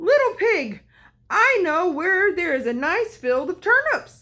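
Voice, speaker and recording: In a put-on character voice, a woman speaks squeaky, at an extremely high pitch, raised and projected, with very wide pitch swings. Her pace is fairly slow, and the recording is very clean with a silent background. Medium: read story. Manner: cunning.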